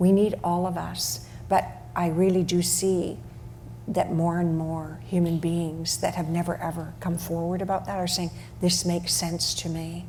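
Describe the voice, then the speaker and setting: Speaking with a Canadian accent, a woman keeps a moderate pace. Noticeable background noise and audible room echo come through. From western Canada (Alberta/Saskatchewan). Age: 70s. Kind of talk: panel discussion.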